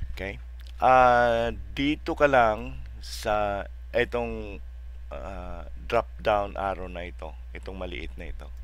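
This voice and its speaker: A man at a very slow pace, with audible room echo. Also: big swings in loudness. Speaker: software tutorial youtuber. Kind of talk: tutorial. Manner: halting, many fillers.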